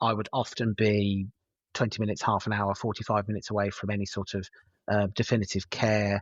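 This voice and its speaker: A man with a West Midlands accent, fairly low in pitch, at a fairly quick pace with fairly even intonation. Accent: English West Midlands, noticeable. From West Midlands, England (Herefordshire/Worcestershire). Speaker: paramedic and university lecturer. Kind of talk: podcast interview. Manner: hesitant, many fillers and repetitions.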